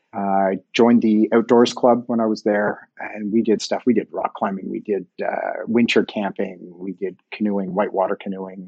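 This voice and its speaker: A man speaks in a Montreal accent at a fairly low pitch. His delivery is monotone and flat, at a moderate pace. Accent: English Canadian (Montreal). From Montreal, Quebec (English-speaking). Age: 50s. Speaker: sports organization board chair. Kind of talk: interview.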